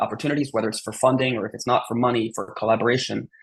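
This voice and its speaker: This man talks at a very fast pace. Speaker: regional coordinator of research outreach program. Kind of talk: conference presentation.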